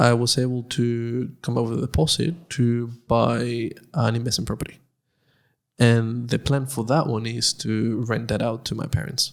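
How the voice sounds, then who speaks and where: A man with a Spanish accent, medium pitch and fairly even intonation at a moderate pace, in a very clean recording with a silent background. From Nicaragua. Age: 20s. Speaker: podcast co-host. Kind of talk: casual chat.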